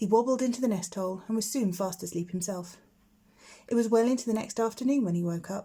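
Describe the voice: A woman's dark, mellow tone at medium pitch, fast pace and ordinary pitch variation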